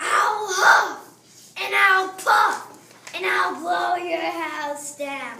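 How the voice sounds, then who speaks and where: In a put-on character voice, someone speaks very slowly at a high pitch, with a slight echo. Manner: menacing, growly.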